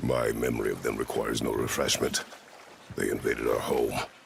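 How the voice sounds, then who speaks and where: Against clear background noise, a man puts on a raspy character voice and speaks at a fairly quick pace. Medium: machinima. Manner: terse, gruff.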